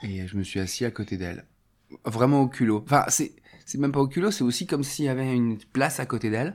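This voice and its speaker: On a very clean recording with a silent background, a man speaks fairly quickly at a medium pitch with lively intonation. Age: 40s. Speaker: theatre and clown teacher. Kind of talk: testimony. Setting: at home. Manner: halting.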